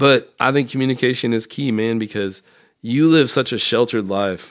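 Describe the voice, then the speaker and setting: A man's plain, everyday voice at a fairly quick pace, in a very clean recording with a silent background. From Nebraska, Omaha. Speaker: recovering alcoholic guest. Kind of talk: casual chat.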